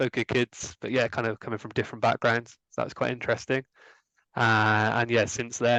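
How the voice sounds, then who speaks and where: With a West Country accent, a man speaks in a monotone, flat intonation against a quiet background. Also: dry, close sound with no echo. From England, Gloucestershire. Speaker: former language assistant, account manager. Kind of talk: interview. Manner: hesitant, many fillers.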